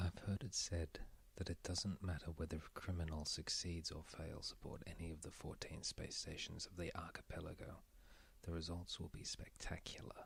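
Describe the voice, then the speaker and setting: The voice is whispering. It is soft-spoken. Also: moderate pace. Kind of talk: audiobook-style reading of a sci-fi novel, ASMR. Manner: soft-spoken, whispered.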